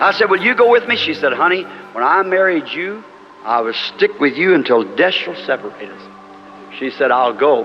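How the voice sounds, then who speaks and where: Music plays behind a man with a rural Southern US accent talking at a moderate pace. His fairly high pitch makes very wide swings in an animated tone. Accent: rural American Southern. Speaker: preacher giving a sermon. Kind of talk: sermon. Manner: animated, folksy storytelling with dialect.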